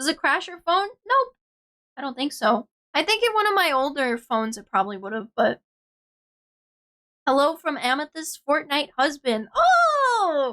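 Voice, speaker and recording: A woman projects a raised, high voice with a bright, sharp tone and very wide pitch swings. She goes fairly slowly with long, frequent pauses, the sound dry and close with no echo. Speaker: VTuber streamer. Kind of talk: casual chat. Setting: livestream. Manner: animated.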